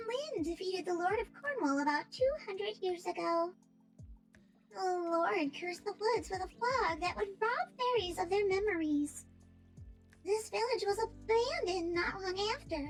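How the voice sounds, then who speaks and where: A woman in a put-on character voice speaks with a gentle tone at an extremely high pitch, faint music playing behind her. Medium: virtual streamer. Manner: gentle, earnest.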